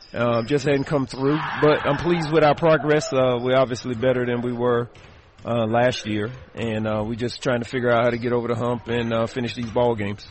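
A man's medium-pitched voice, fairly quick and with fairly even intonation, over noticeable background noise. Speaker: basketball head coach. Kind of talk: pregame interview. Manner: halting, many filler ums and uhs.

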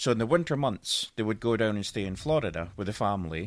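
Speaking at a very fast pace with a Scottish accent, a man with a fairly low pitch is heard on a very clean recording against a silent background. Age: 40s. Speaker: guest storyteller. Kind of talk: casual chat.

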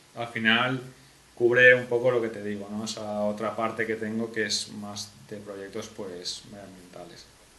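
At a fairly slow pace, a man talks in a medium pitch with monotone, flat intonation, amid audible room echo and noticeable background noise. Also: big swings in loudness. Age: 20s. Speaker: young entrepreneur and university student. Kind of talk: casual interview.

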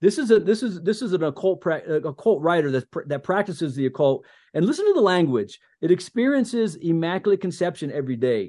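Speaking at a very fast pace with hardly any pauses, a man with a high pitch and a dark, mellow tone uses lively intonation over a quiet background. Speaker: podcast host and army veteran. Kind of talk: casual chat. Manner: halting; subdued.

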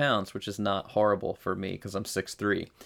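A man talks at a fairly quick pace in a normal speaking voice with a fairly low pitch. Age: 30s. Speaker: military veteran and lifter. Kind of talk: casual chat.

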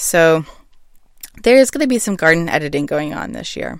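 In a very clean recording with a silent background, a woman with an American accent talks at a moderate pace in a fairly low pitch. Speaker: podcast host, home gardener. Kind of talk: solo casual monologue. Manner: casual, rambling with fillers.

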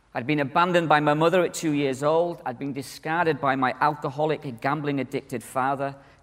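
Talking at a fairly quick pace with hardly any pauses, a man with a northern English accent has a fairly high voice. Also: very clean recording, silent background. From northern England. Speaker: conference speaker, church minister. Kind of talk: conference talk. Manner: animated.

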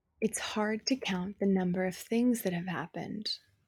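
In a very clean recording with a silent background and a dry, close sound with no echo, a somewhat breathy woman talks at a moderate pace and medium pitch with ordinary pitch variation. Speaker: poet. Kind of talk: poetry reading, spoken word. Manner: raw, intimate, emotionally heavy.

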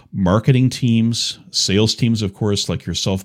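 The recording is very clean, with a silent background. Delivery has a moderate pace and ordinary pitch variation. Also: man. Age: 50s. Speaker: cybersecurity executive. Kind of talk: casual interview. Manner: halting.

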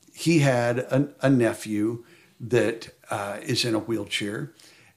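With an American accent, a man speaks at a very slow pace, his medium pitch showing ordinary variation. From Oklahoma, Stillwater. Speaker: hunting camp volunteer with a birth defect. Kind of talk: interview testimony. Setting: outdoors at a hunting camp.

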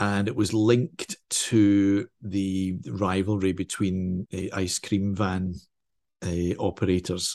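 In a Glaswegian accent, a man with a fairly low pitch talks at a very slow pace with fairly even intonation, in a dry, close sound with no echo and a quiet background. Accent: Glaswegian Scottish. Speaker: crime novelist. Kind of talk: interview.

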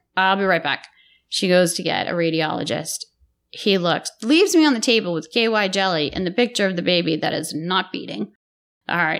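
A woman with an American accent, medium pitch, and a fairly quick pace. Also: ordinary pitch variation. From Massachusetts, Lowell area. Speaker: nurse. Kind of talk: casual chat. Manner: animated.

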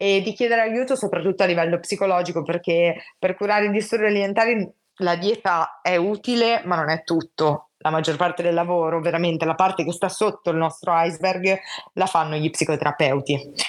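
A woman with a plain, everyday voice, fairly low in pitch, at a fairly quick pace and very even loudness over a quiet background. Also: ordinary pitch variation. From Italy, Genoa. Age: 20s. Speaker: psychology student sharing her illness experience. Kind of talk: personal testimony in casual interview.

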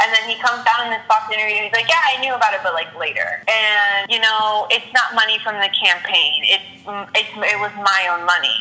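At a fairly quick pace, a woman talks in a fairly high pitch with ordinary pitch variation amid noticeable background noise. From Puerto Rico / Colombia heritage. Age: 20s. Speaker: podcast guest, friend of host. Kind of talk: casual chat.

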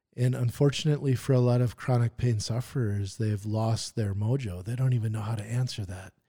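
Over a silent background in a very clean recording, a man talks at a fairly quick pace with hardly any pauses, his medium-pitched voice dark, mellow and somewhat breathy. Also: fairly even intonation. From Wisconsin, US Midwest. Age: 40s. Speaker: musculoskeletal rehab therapist. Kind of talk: interview conversation.

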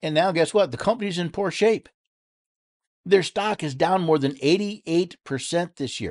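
Over a quiet background with a dry, close sound with no echo, a high-pitched man with an American accent talks at a moderate pace with ordinary pitch variation. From upstate New York. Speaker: political talk radio host. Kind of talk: monologue on politics. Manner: repetitive stammering restarts.

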